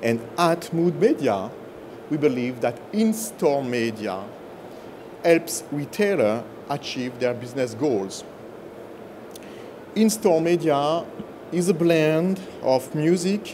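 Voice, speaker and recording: Amid noticeable background noise and audible room echo, a man with a fairly high pitch talks at a very slow pace, his pitch swinging very widely between long, frequent pauses. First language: French. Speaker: business executive. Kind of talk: conference presentation.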